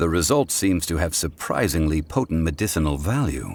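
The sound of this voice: A put-on character voice at a moderate pace. The pitch swings widely, and the tone is slightly mellow. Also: man, extremely low pitch for a man.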